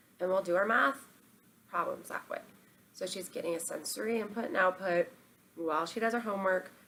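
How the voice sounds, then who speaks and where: Woman talking fairly quickly with ordinary pitch variation, long and frequent pauses, and noticeable background noise. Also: medium pitch for a woman. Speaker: parenting vlogger. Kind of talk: casual tips monologue. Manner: fast; casual, filler-heavy.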